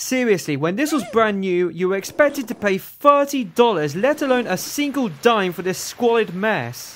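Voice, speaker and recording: With hardly any pauses, a man with an English accent talks at a high pitch over noticeable background noise. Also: lively intonation, moderate pace. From England. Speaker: video game reviewer. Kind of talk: scripted review narration.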